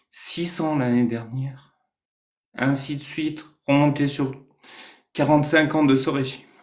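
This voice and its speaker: In a room with audible echo, a man with a fairly high pitch speaks very slowly in a monotone, flat way, with long, frequent pauses. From Iran. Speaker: Iranian activist. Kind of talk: casual live discussion.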